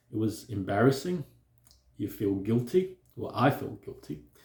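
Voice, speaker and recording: A man's voice with vocal fry at a fairly slow pace. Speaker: self-help vlogger on stuttering. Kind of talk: personal talk to camera.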